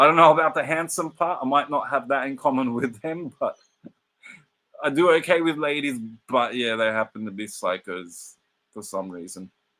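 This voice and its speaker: This man has an Australian accent and a bright, sharp tone at a fairly high pitch. He keeps a moderate pace, with big swings in loudness. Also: lively intonation. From Australia, Sydney. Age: 40s. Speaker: football streamer. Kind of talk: casual live watch-along commentary. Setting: live stream.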